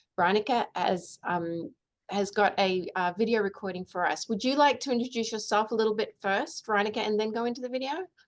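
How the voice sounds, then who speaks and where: A woman with an Australian accent talks at a fairly quick pace with ordinary pitch variation. The background is quiet. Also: fairly high pitch for a woman. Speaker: professor, interviewer. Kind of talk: academic webinar introduction. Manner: halting, many fillers.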